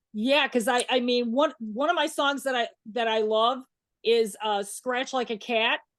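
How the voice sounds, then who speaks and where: Against a quiet background, a woman with a Chicago accent speaks fairly slowly at a high pitch with fairly even intonation. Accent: Chicago accent, still noticeable. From Chicago, US Midwest. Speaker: interview show host. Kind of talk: casual interview.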